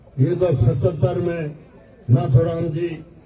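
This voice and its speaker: Fairly high for a man, his voice has a dark, mellow tone and is somewhat breathy. His intonation is fairly even, and room echo is audible. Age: 80s+. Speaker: politician. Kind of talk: political rally speech. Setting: gathering at his residence with supporters.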